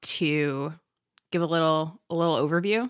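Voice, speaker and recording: With a plain, everyday voice, a woman speaks at a fairly low pitch and moderate pace in a very clean recording with a silent background. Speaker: podcast co-host and teacher. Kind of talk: casual discussion.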